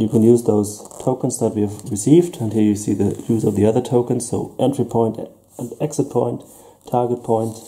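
With a German accent, a man speaks at a moderate pace in a dark, mellow, somewhat breathy tone. His intonation stays fairly even over light background noise. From Germany. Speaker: tabletop gaming youtuber. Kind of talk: unboxing review. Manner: hesitant. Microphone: camera far.

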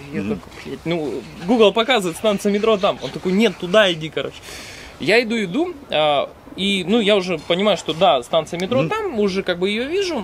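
Light background noise sits behind a man with a high voice. He talks at a fairly quick pace with lively intonation. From Russia. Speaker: stream moderator and traveler; stream moderator. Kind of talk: casual chat. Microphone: camera far.

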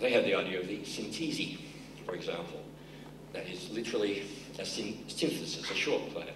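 A man speaks with long, frequent pauses over noticeable background noise. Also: moderate pace. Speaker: keynote speaker. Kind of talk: keynote address to a conference audience. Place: stage. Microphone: podium.

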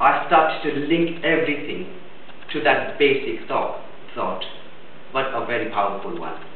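A man speaks with long, frequent pauses over light background noise, and the room echo is audible. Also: moderate pace. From India. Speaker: biomedical engineer giving a speech at a speakers club. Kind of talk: prepared speech. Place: meeting room. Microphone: camera far.

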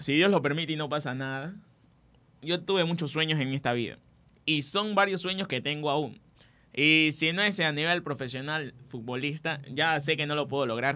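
At a moderate pace, a man speaks with a fairly high pitch, a bright, sharp tone and ordinary pitch variation. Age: 20s. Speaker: student sports radio presenter; radio presenter. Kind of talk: sports talk radio chat. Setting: radio studio. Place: studio. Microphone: studio mic.

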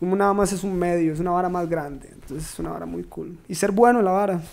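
At a fairly quick pace, a man with a high pitch and a dark, mellow tone speaks with fairly even intonation. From Costa Rica, Turrialba; Costa Rica. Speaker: trap musician; guest. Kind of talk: casual chat. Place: studio. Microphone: studio mic.

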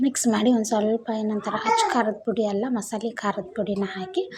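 Noticeable background noise sits behind a woman's voice. She speaks in a fairly high pitch with fairly even intonation. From Bijapur area, north Karnataka. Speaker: vlogger. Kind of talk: casual vlog narration. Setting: home kitchen, handheld camera.

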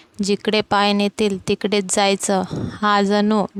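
Someone is reading aloud in a natural voice. The delivery stays that way throughout.

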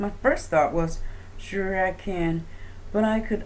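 Reading aloud, plainly done

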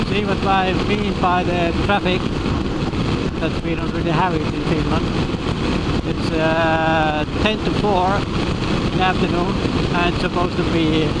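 A fairly slow pace over loud background noise. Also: dry sound with no echo. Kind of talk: casual vlog chat. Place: motorbike. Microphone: helmet.

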